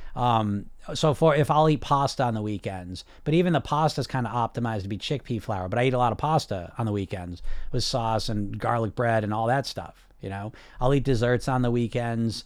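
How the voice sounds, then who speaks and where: Here a man with an unremarkable speaking voice and an American accent talks fairly quickly at a medium pitch, with ordinary pitch variation. The recording is very clean, and the background is silent. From US. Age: 40s. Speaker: weight loss coach and podcast host. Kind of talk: live-streamed chat with viewer comments.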